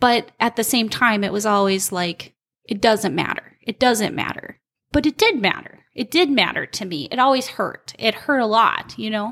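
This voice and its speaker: A woman with an Upper Midwest accent, fairly high pitch, ordinary pitch variation and a moderate pace. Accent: Upper Midwest American. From Minnesota (Albany). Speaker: recovering addict sharing her story. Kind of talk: testimony. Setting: in her home basement.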